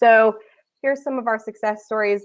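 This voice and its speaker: Over a quiet background, a woman talks at a moderate pace with ordinary pitch variation in an unremarkable speaking voice. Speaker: recruiting agency director. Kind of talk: conference presentation.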